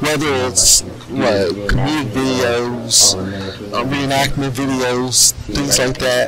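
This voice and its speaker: A man's voice, dry with no echo, clear music in the background. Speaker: reaction video creator. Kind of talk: casual reaction commentary. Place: home room. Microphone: headset.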